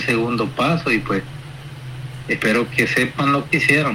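A man speaks at a medium pitch. Noticeable background noise sits under his voice. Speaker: opposition political candidate. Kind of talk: phone interview.

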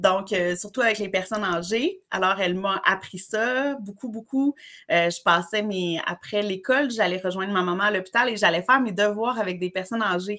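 A bright, sharp tone in a Quebec accent, with ordinary pitch variation, a moderate pace, and a very clean recording over a silent background. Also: woman. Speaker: summer camp trainer. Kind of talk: casual interview. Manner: animated.

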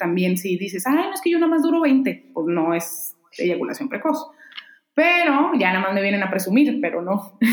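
Her pitch leaps up and down dramatically. She keeps a fairly brisk tempo. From Mexico, Mexicali (Baja California). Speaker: urologist. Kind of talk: interview.

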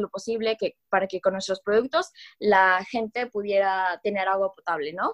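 Moderate pace and fairly even intonation from a woman with a normal speaking voice, pitched in the medium range. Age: 20s. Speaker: key account manager. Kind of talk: casual chat.

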